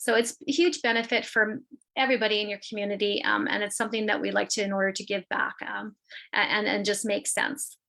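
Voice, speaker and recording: A woman with a Canadian accent talks very fast in a fairly high, bright and sharp voice with vocal fry and ordinary pitch variation. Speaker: internet provider representative. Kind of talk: business presentation.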